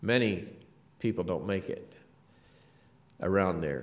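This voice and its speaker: A man speaks at a fairly slow pace with vocal fry. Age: 50s. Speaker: guest preacher. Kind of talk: sermon. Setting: church. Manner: halting.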